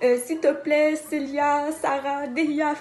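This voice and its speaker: With noticeable background noise behind her, a woman talks at a high pitch. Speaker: dancer teaching dance. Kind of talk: tutorial.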